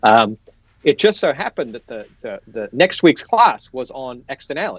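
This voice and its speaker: Using an Australian accent, a man speaks at a moderate pace. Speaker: economics professor. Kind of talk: casual interview on a livestream. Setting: online livestream. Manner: halting, many restarts and fillers.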